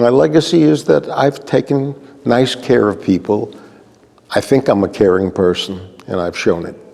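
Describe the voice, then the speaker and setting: A man talks at a moderate pace and medium pitch with very wide pitch swings, amid noticeable background noise. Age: 80s+. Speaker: honoree, community elder. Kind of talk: interview.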